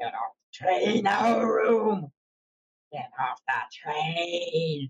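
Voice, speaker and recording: The put-on character voice sits at a middle pitch and moves at a very slow pace. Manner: menacing, barking.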